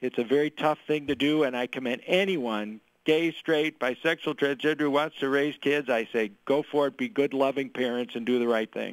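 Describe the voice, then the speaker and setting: With an American accent, a man talks in an ordinary speaking voice at a fairly high pitch. He keeps a moderate pace with hardly any pauses and ordinary pitch variation. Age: 60s. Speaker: political candidate. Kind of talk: radio interview.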